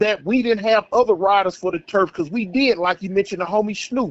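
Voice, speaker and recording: A man talks with ordinary pitch variation. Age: 60s. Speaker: former gang member. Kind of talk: phone-in interview. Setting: phone call.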